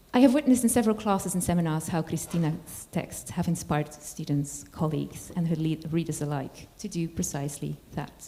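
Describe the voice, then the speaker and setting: A woman speaks with a very deep, low pitch and a dark, mellow tone. Her voice is somewhat breathy, and she talks at a fairly quick pace. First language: not English. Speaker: college lecturer introducing a guest speaker. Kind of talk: formal lecture introduction. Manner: formal; halting, with self-corrections.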